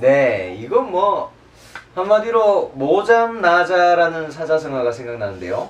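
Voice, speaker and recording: A man with a high pitch speaks at a very slow pace. His pitch swings very widely. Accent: Daegu. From Daegu. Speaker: political commentator panelist. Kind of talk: panel discussion commentary.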